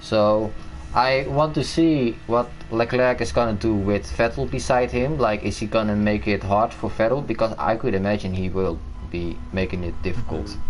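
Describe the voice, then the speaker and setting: With music in the background, a man speaks at a moderate pace in a fairly low pitch, using lively intonation and a Dutch accent. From Netherlands. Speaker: gaming streamer. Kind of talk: casual chat.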